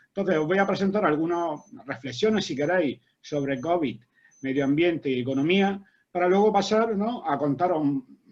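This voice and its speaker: The man talks in a high voice with ordinary pitch variation. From Spain. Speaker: agronomist and university researcher. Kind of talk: academic seminar talk. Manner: fast.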